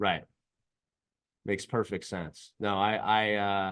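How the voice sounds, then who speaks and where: A man with a Californian accent speaks in a very deep, low pitch. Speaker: podcast host, business founder. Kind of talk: interview. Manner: hesitant, filler-heavy.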